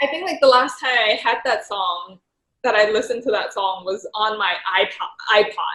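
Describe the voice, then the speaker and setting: A woman with a Thai accent speaks at a moderate pace. Her intonation is lively and her pitch fairly high. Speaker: professional golfer. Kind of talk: casual chat. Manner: halting, many fillers.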